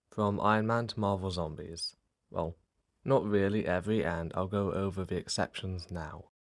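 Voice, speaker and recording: A man's fairly low pitch in an unremarkable speaking voice, moderate in pace, fairly even in intonation. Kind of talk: casual ranking commentary.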